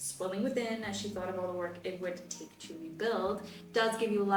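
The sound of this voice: The voice in the clip is an unforced reading voice.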